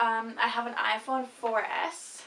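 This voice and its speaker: Using an ordinary speaking voice, this woman's fairly high voice holds fairly even intonation. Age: young. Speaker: vlogger. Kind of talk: casual chat.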